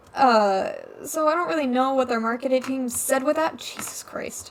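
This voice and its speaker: A high-pitched woman talks at a moderate pace amid noticeable background noise. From Alaska, Ketchikan (moved from Washington at nine). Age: young. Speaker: gamer streamer, college student. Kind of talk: casual gaming commentary rant. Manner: halting, many fillers.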